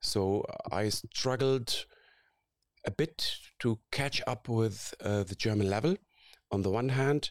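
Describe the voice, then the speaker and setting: Speaking at a very slow pace with long, frequent pauses, a man uses a medium pitch and ordinary pitch variation in a dry, close sound with no echo. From Syria. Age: 40s. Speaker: aerospace professor. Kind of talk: interview. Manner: halting.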